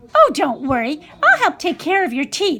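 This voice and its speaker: The voice is a put-on character voice, squeaky in sound. It moves at a moderate pace. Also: woman, extremely high pitch for a woman. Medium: read story.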